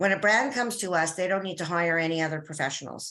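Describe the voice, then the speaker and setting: Speaking at a fairly quick pace in a Canadian accent, a woman has a fairly low pitch, ordinary pitch variation, and a bright, sharp tone. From Canada. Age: 60s. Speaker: business consultant. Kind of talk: interview.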